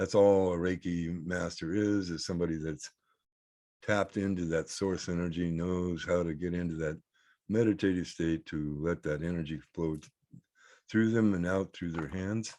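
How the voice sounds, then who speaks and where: Over a quiet background, a man with a very deep, low pitch and a dark, mellow tone talks at a moderate pace with fairly even intonation. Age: 60s. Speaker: reiki practitioner. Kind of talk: spiritual talk to camera. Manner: halting, many fillers.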